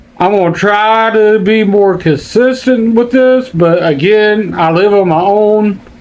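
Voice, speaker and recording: With noticeable background noise behind him, a man speaks fairly slowly in a high pitch, with ordinary pitch variation and very even loudness. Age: 50s. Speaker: YouTuber. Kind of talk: casual vlog monologue. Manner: halting.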